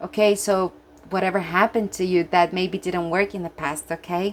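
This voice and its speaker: At a moderate pace, a woman talks with a medium pitch. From Brazil. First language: Portuguese. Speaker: tarot reader. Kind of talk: tarot reading with guidebook passages. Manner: animated.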